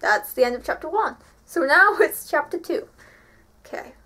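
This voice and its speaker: Her pitch swings very widely as she talks at a fairly quick pace. The woman speaks with an English accent. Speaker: vlogger. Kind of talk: reading aloud. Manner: animated.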